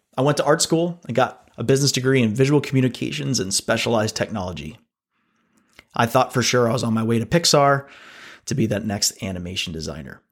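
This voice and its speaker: Using lively intonation, a man with an American accent speaks at a very fast pace. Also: medium pitch for a man, very clean recording, silent background. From Pennsylvania, US. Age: 40s. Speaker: podcast host, agency CEO. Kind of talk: scripted monologue.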